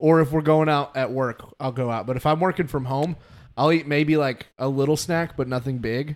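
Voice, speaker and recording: A man's fairly high-pitched voice, an ordinary speaking voice, at a moderate pace with fairly even intonation. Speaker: podcast host. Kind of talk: casual chat.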